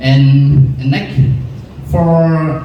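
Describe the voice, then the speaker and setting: A man talks with ordinary pitch variation. Noticeable background noise and audible room echo are present. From Vietnam. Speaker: student speech contestant. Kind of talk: contest speech. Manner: halting.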